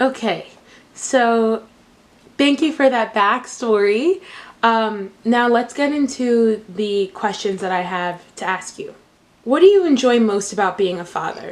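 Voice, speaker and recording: With a normal speaking voice, a woman talks fairly high in pitch, using lively intonation at a fairly slow pace. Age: 20s. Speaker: college student interviewing her father. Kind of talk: casual interview.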